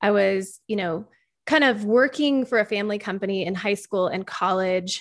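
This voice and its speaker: A woman speaks at medium pitch in an ordinary speaking voice with ordinary pitch variation. The recording is very clean with a silent background. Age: 30s. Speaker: podcast host and former pro cheerleader. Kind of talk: casual chat.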